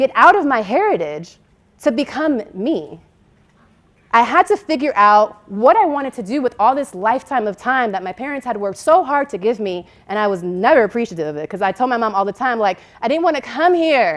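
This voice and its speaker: With very wide pitch swings and an animated tone, a woman talks at a fairly quick pace in a fairly high pitch. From Dominican Republic, Santiago. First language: Spanish. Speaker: keynote speaker. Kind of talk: keynote speech. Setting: stage with audience.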